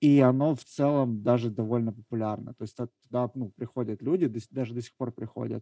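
The man's dark, mellow tone sits at a medium pitch, moving at a moderate pace with fairly even intonation. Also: dry, close sound with no echo. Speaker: podcast co-host. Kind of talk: casual chat.

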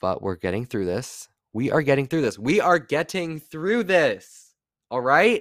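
A man's fairly high voice with vocal fry and very wide pitch swings, dry and close with no echo, in a very clean recording with a silent background. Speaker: solo podcaster. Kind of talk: casual monologue. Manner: fast talker; rambling.

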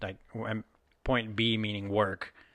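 The tone is bright and sharp over a quiet background. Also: man. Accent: American. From Texas. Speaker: podcast co-host. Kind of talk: casual chat.

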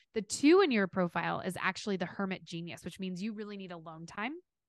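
Against a quiet background, a woman with an American accent speaks at medium pitch. She talks very fast in an animated tone. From Kansas City, US Midwest. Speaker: performance coach. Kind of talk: interview.

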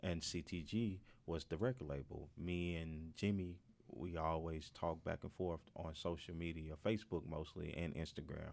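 A man with a Southern US accent speaks at a very deep, low pitch. His pace is moderate and his pitch variation ordinary. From Mississippi. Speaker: music executive and promoter. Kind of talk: casual interview. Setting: studio.

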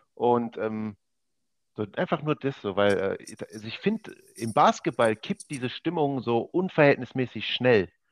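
An unremarkable speaking voice from a man at a medium pitch, fairly slow with lively intonation, in a dry, close sound with no echo. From Ruhr area, Germany (Oberhausen). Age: 20s. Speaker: esports gamer, basketball video game league champion. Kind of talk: casual podcast interview.

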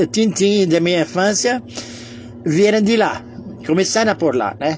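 A man speaks fairly slowly, with a high pitch and lively intonation. Noticeable background noise is present. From Lebanon (Beirut). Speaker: memoir storyteller. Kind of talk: personal storytelling monologue. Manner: halting, many fillers.

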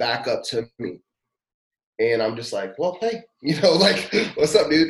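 Loud and with very wide pitch swings, a man speaks in an American accent. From US South, Louisville, Kentucky. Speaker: youth pastor. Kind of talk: personal testimony in casual interview.

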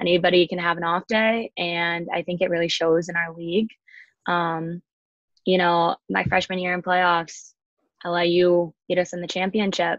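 With an American accent, a woman speaks at a moderate pace in a fairly low pitch, her intonation monotone and flat. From Chicago and Colorado, US. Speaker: college ice hockey player. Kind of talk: casual interview.

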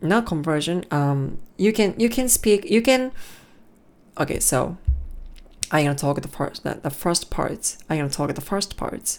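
In a Japanese accent, a woman speaks at a fairly low pitch and a fairly slow pace. Her pitch swings very widely. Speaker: podcaster practicing English. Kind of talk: solo monologue practice. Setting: alone in room. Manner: halting.

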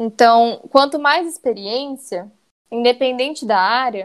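Pitch variation here is ordinary. It is an ordinary speaking voice. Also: woman. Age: 20s. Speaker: civil engineering student. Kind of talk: interview.

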